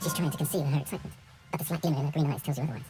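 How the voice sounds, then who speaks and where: A put-on character voice at a low-to-middle pitch and very fast pace, with clear background noise. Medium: video game. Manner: wry, observant.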